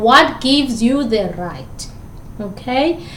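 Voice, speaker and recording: A woman speaks at a high pitch with lively intonation. Noticeable background noise and audible room echo fill the recording. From South Africa. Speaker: communication lecturer. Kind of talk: lecture. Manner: repeats words.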